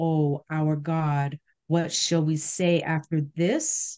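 Over a quiet background, a woman speaks at a very slow pace in a very deep, low pitch, her dark, mellow tone held to a monotone, flat intonation. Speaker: bible study participant. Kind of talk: scripture reading. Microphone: video call.

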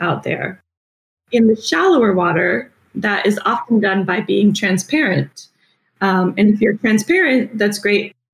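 The voice is somewhat breathy, with an American accent. The pace is moderate. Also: woman. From US Midwest, Michigan. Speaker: marine biologist. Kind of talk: interview.

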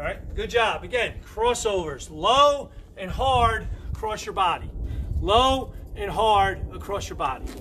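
The voice moves at a fairly slow pace over light background noise. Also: man. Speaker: basketball coach. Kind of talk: live-streamed coaching workout, barking out drill cues and counting time. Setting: Facebook Live stream. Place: garden. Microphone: phone near.

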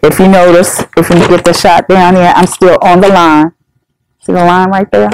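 A woman with an ordinary speaking voice, fairly low in pitch with ordinary pitch variation, at a moderate pace, in a dry sound with no echo and light background noise. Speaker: senior center coordinator. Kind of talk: tutorial. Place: meeting room.

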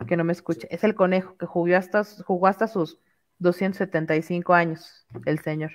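A woman with a Mexican accent, fairly low-pitched, ordinary pitch variation, set against a quiet background. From Mexico. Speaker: content creator. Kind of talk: casual chat. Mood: relaxed, playful. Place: home room. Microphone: headset.

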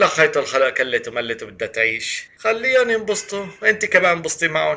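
A man talks at a moderate pace. He speaks with an Aleppo accent. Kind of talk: comic phone-call sketch.

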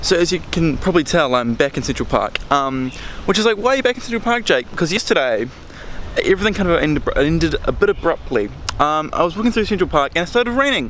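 A man speaks at a very fast pace. The sound is dry with no echo, with light background noise. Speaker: travel vlogger. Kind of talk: casual vlog chat. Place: open country. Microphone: phone near.

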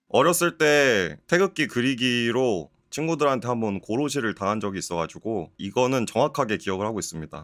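A medium-pitched male voice at a fairly quick pace with very wide pitch swings and hardly any pauses, in a very clean recording with a silent background. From South Korea. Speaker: game youtuber and virtual variety show host. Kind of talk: comedy quiz show. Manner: animated.

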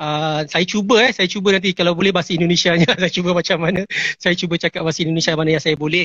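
A man talks at a very fast pace with a Malaysian accent. His pitch is high. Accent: Malaysian Malay. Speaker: entertainment show host. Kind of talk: live interview. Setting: Instagram live video call.

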